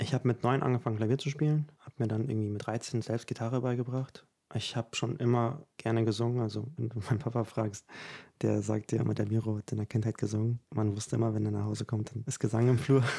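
Against a quiet background, a man talks at a very fast pace in a dark, mellow, somewhat breathy tone with fairly even intonation. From Ukraine. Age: 20s. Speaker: composer and singer; guest. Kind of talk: interview conversation. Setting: at his home. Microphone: studio mic.

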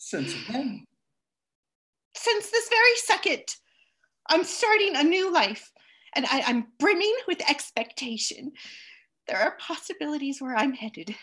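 A raised, projected voice with a bright, sharp tone moves fairly slowly through very wide pitch swings and long, frequent pauses over a quiet background. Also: woman. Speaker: actor in a remote play reading. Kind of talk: dramatic stage dialogue. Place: home room. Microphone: headset.

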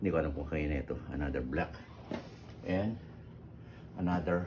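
Over audible room echo, a man with a very deep, low pitch speaks with ordinary pitch variation. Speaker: vlogger. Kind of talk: unboxing video. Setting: at home. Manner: halting.

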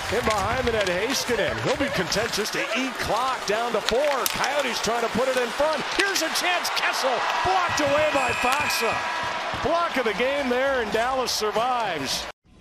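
A man talks at a moderate pace over loud background noise. The sound is dry, with no echo. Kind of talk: live sports commentary. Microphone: headset.

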